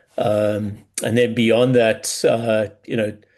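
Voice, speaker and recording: A man speaks with a South African accent in a monotone, flat intonation. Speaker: business coach. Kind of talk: podcast interview. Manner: hesitant, many fillers and repeats.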